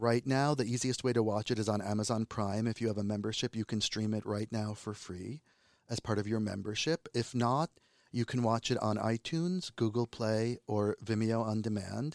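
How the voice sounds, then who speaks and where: Speaking in a New Jersey accent, a man keeps a moderate pace and fairly even intonation. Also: medium pitch for a man, dry, close sound with no echo. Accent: American, New Jersey. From New Jersey, US. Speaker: filmmaker. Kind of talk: interview.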